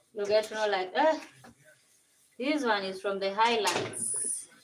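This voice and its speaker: A woman with a Kenyan accent speaks at a fairly slow pace. Room echo can be heard. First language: Kenyan mother tongue. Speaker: vlogger. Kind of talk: casual livestream chat. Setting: home kitchen livestream.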